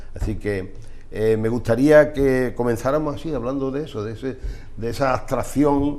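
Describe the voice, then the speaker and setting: Audible room echo around a man with a medium pitch, fairly even intonation and a moderate pace. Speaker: TV presenter. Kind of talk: TV interview. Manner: halting.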